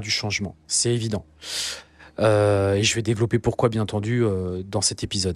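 Nothing but silence sits behind the voice in a very clean recording. The man talks at a fairly quick pace. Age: 40s. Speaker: business coach and podcast host. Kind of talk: solo podcast monologue. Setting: outdoors. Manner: hesitant, many fillers.

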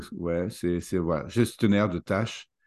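A man speaks in a plain, everyday voice, pitched fairly low. His pitch varies in an ordinary way against a quiet background. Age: 40s. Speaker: leadership coach. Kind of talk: interview.

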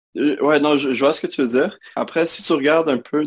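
Moderately paced speech in a Quebec accent with a dry, close sound and no echo. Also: man. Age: 20s. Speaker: recent computer science graduate. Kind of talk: interview conversation. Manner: halting.

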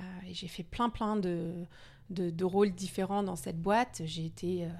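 A medium-pitched woman at a fairly slow pace, with ordinary pitch variation, on a very clean recording with a silent background. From Denmark, half Danish. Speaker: yoga studio founder and entrepreneur. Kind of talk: podcast interview. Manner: hesitant, many repeated words.

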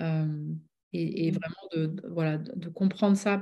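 At a very slow pace, a woman speaks in a fairly low, somewhat breathy voice with a dark, mellow tone and fairly even intonation. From southwest France (Bordeaux, Médoc). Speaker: business coach and author. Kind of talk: interview.

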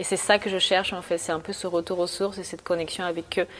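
Fairly low-pitched female speech, monotone and flat in intonation. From Bolivia (Santa Cruz), moved to France at 11. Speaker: art student and painter. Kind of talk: casual interview. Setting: art studio.

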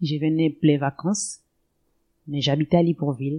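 Recorded with a dry, close sound, no echo and a quiet background, a woman speaks at a very deep, low pitch in a dark, mellow tone. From Gabon. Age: 40s. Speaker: mother of eight. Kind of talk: personal testimony. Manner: halting.

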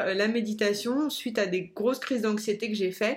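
A woman is speaking. Her pitch sits fairly high. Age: 30s. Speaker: life coach. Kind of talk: personal storytelling monologue. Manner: hesitant, many fillers.

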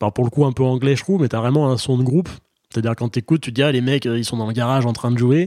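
A man with a dark, mellow tone and ordinary pitch variation, talking at a very fast pace in a dry, close sound with no echo. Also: medium pitch for a man. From France. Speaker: podcast host. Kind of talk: casual interview. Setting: video call.

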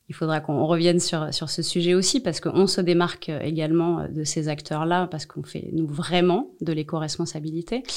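A woman talks in a normal speaking voice at a fairly low pitch, keeping a moderate pace and fairly even intonation. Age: 40s. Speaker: social enterprise director. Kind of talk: interview.

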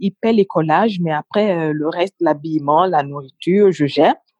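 Heard in a dry, close sound with no echo and a quiet background, a woman's dark, mellow voice sits fairly low in pitch with ordinary pitch variation. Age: 30s. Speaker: communications officer. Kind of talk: interview.

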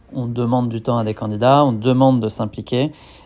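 Speaking at a fairly quick pace, a man uses a medium pitch and a dark, mellow tone. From western France. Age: 30s. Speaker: company founder. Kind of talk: interview. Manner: hesitant, many fillers.

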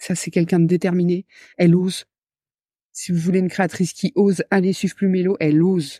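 A woman's dark, mellow tone at a fairly quick pace, flat and monotone, in a very clean, silent recording with dry, close sound and no echo. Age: 30s. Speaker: creative business entrepreneur and trainer. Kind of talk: casual interview chat.

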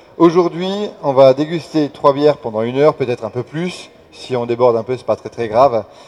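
Talking at a fairly quick pace over noticeable background noise, a man with a fairly high pitch shows ordinary pitch variation and big swings in loudness. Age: 30s. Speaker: beer sommelier. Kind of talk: tasting workshop. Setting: beer festival with audience.

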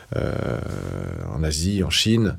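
A man speaks with a very deep, low pitch. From northeastern France, Toul near Nancy. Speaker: politician and author. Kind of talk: interview testimony. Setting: in-person recording in Paris. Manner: halting with many repetitions.

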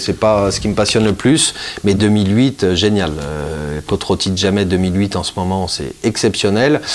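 Over noticeable background noise, a man with a fairly low pitch speaks at a very slow pace with ordinary pitch variation. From Italy. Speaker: wine school founder and wine shop owner. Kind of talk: interview. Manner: halting, many fillers and repetitions.

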